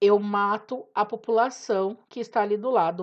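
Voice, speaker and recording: An unremarkable speaking voice with fairly even intonation comes through against a quiet background. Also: woman. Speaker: teacher. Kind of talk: lecture. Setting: home recording.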